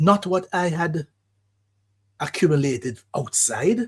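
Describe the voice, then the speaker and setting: A somewhat breathy man's voice, very slow in pace, with very wide pitch swings. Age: 70s. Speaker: radio host, psychologist. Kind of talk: radio monologue, reflective talk. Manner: measured, reflective.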